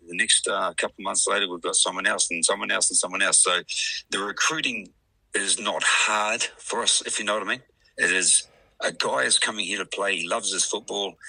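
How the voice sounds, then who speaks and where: Here a man talks at a fairly quick pace. He speaks with a New Zealand accent. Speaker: rugby league club president. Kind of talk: radio interview.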